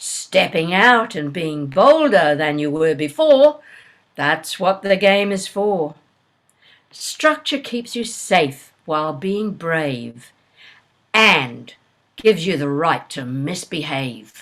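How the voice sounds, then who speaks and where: Very slow speech from a woman with fairly low pitch, lively intonation and big swings in loudness. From Australia. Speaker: poet. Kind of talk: poetry reading. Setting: video call.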